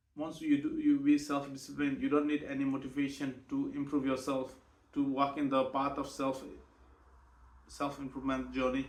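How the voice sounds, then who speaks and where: A man with a Nepali accent talks at a moderate pace. His fairly high voice holds a monotone, flat intonation. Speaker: vlogger, night shift worker. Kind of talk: personal vlog monologue. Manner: halting, many repetitions and self-corrections.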